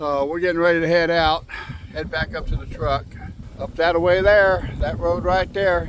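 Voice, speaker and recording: An American-accented man at a moderate speed, noticeable background noise behind him. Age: 60s. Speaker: outdoor vlogger. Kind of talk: casual vlog narration. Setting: outdoors by a river.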